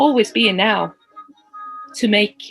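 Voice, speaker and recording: A woman talks in a fairly high pitch with ordinary pitch variation. Music plays in the background. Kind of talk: podcast conversation.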